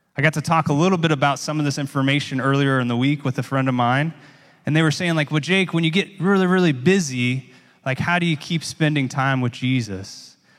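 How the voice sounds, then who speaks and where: This man has a normal speaking voice, fairly high in pitch. He talks at a fairly quick pace with ordinary pitch variation. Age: 30s. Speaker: pastor. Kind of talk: sermon. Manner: casual, conversational.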